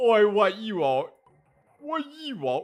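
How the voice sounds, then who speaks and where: A put-on character voice swings very widely around a fairly high pitch. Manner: gruff, confrontational.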